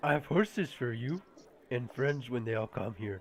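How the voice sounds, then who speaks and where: Putting on a character voice, a man speaks. His pitch sits in the middle of his range. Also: moderate pace. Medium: actual play. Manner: simple, clipped grammar.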